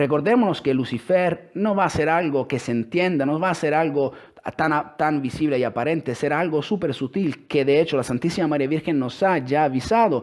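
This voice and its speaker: Fairly high in pitch, a man with an Italian accent talks at a fairly quick pace with ordinary pitch variation. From Italy. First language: Italian (speaking Spanish). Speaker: religious speaker. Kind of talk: religious talk with scripture reading. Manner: halting.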